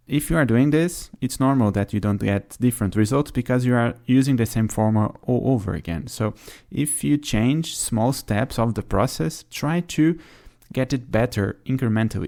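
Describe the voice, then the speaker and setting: With a non-native accent, a man speaks at a moderate pace and medium pitch with ordinary pitch variation. His tone is dark and mellow, in a very clean recording with a silent background. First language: not English. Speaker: podcast host. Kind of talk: solo podcast monologue. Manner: hesitant, filler-heavy.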